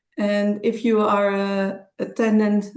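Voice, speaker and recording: The speaker is a woman with a Dutch accent. Her pitch is medium. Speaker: creative consultant and presenter. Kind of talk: online presentation. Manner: halting.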